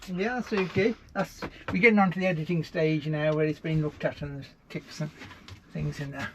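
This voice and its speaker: A man at a fairly quick pace with ordinary pitch variation, amid noticeable background noise. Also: fairly high pitch for a man. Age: 70s. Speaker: author and nomad living in a lorry. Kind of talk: interview answer. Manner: cheerful, positive.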